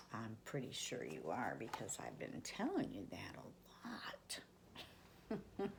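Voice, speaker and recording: A woman's whisper at a very slow pace. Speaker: children's story reader, grandmotherly host. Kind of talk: casual intro talking to camera. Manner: warm, friendly, direct address to children.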